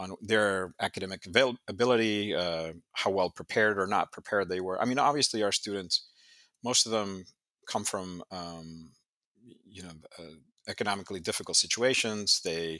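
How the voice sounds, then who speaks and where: A man with a fairly low pitch and a bright, sharp tone speaks at a moderate pace with ordinary pitch variation and big swings in loudness, in a dry, close sound with no echo on a very clean recording with a silent background. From immigrant to the US. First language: not English. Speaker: history professor. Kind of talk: podcast interview. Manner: halting, many fillers and repetitions.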